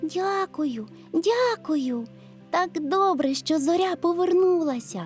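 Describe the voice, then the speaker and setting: A woman performs a put-on character voice at an extremely high pitch and a fairly slow pace. Clear music plays in the background. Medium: read story. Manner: eager, excited.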